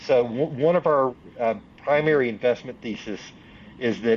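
With a Southern US accent, a man talks at a fairly slow pace with ordinary pitch variation. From US South, Union, South Carolina. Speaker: venture capital investor. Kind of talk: interview.

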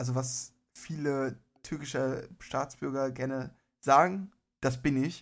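On a very clean recording with a silent background, a man of medium pitch speaks at a very slow pace with fairly even intonation. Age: 20s. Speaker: podcast co-host. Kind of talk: casual chat.

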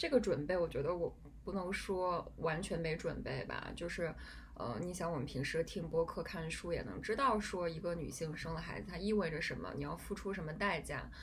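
The speech moves at a moderate pace with ordinary pitch variation and audible room echo. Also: woman, fairly low pitch for a woman. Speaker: podcast host. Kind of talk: casual chat. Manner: halting.

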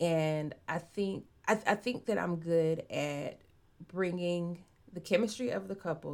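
A woman talks in a plain, everyday voice at a fairly low pitch. The pitch varies in an ordinary way. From Arkansas, US South. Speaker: romance novelist. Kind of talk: interview.

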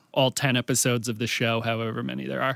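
Recorded dry and close with no echo, on a very clean recording with a silent background, a man speaks in a bright, sharp tone. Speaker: podcast host. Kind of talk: casual chat. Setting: studio.

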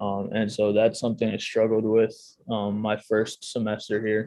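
A man is speaking here. His pitch is fairly low and his pace moderate. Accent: American. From Chicago area, US Midwest. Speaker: strength and conditioning coach. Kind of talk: podcast interview.

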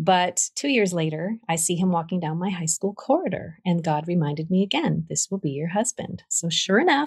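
Somewhat breathy, a woman speaks at a fairly quick pace with a medium pitch and lively intonation. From Vermont, US. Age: 60s. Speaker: ministry founder. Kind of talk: testimony.

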